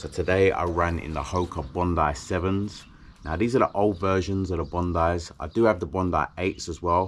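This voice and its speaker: A man with a British accent speaks at a moderate pace in a very deep, low pitch, his intonation fairly even. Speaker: endurance athlete vlogger. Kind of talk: vlog monologue. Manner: casual.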